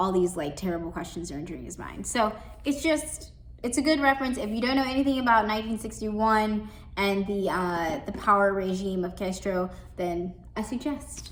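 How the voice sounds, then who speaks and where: With lively intonation, a woman talks at a fairly quick pace amid audible room echo. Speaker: librarian. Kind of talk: book recommendations. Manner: fast; casual, filler-heavy.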